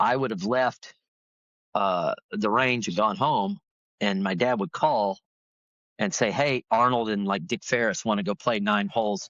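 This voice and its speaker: A man with an unremarkable speaking voice talks at a fairly slow pace, his medium pitch carried by lively intonation. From Florida. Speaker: professional golfer and golf broadcaster. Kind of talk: interview answer.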